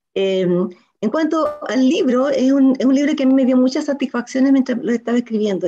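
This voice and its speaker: Speaking at a fairly quick pace, a woman has a high pitch, a dark, mellow tone and ordinary pitch variation. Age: 60s. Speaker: writer. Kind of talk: interview.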